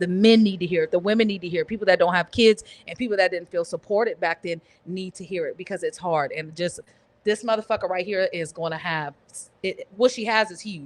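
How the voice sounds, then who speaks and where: A woman talks at a medium pitch and a fairly quick pace, with ordinary pitch variation and big swings in loudness. The sound is dry and close with no echo. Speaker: comedian. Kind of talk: casual podcast chat. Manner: fast.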